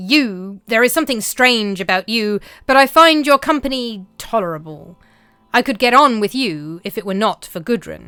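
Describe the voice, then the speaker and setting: Using a put-on character voice, a woman growls at a fairly high pitch and a moderate pace. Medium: read story. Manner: growling, menacing.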